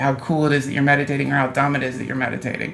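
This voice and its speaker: Against noticeable background noise and audible room echo, a man speaks with fairly high pitch. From US South, North Carolina. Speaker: comedian. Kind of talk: casual chat. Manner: animated.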